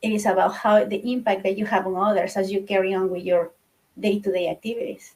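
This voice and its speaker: A woman with a somewhat breathy voice speaks fairly quickly, her intonation fairly even. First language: not English. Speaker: book club participant. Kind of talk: casual discussion. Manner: halting.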